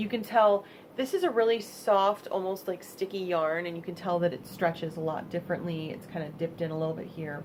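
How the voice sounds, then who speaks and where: Fairly quick speech in an American accent, ordinary pitch variation, and noticeable background noise. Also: woman. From US Midwest, Michigan. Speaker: vlogger and crafter. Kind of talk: casual vlog monologue. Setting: home vlog space. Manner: halting.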